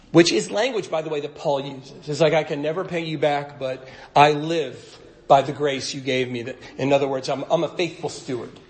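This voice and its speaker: In a room with audible echo, a man speaks at a fairly high pitch and moderate pace with fairly even intonation. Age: 50s. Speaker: pastor. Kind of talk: sermon. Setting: church stage at a podium.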